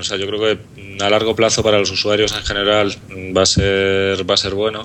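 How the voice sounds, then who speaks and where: Intonation stays monotone and flat as a man speaks with a Madrid accent. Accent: Madrid Peninsular Spanish. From Madrid, Spain. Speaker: app developer. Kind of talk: casual chat.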